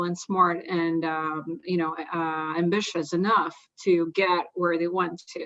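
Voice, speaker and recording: At a moderate pace, a woman with a Russian accent speaks at a fairly low pitch in a monotone, flat intonation. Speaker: investor. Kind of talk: panel discussion.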